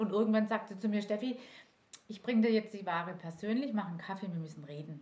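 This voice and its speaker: Very fast and somewhat breathy, a woman with a medium pitch and a dark, mellow tone shows big swings in loudness and ordinary pitch variation. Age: 40s. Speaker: direct sales manager. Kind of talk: interview.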